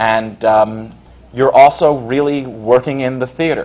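With an American accent, a man talks in a plain, everyday voice and fairly even intonation. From New York, Westchester County. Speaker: playwright. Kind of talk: panel discussion.

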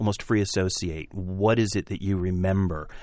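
Over a quiet background, a man with an ordinary speaking voice talks at a moderate pace and fairly low pitch, with fairly even intonation. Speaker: radio show host, theater organization director. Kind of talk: interview.

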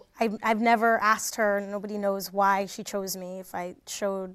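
Medium-pitched woman with an American accent at a moderate pace, on a very clean recording with a silent background. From New Jersey. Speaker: theater actor. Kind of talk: panel interview, casual.

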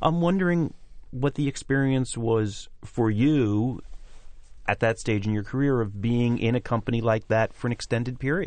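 This man has an ordinary speaking voice at a medium pitch, with ordinary pitch variation and very even loudness. He keeps a moderate pace against a quiet background. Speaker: radio host and theater organization director. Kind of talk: interview. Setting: studio.

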